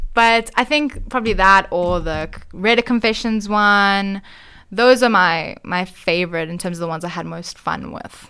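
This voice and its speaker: Her voice is an unremarkable speaking voice, as a woman talks at a moderate pace in a medium pitch with ordinary pitch variation. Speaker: podcaster. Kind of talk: casual radio interview chat. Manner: relaxed, conversational.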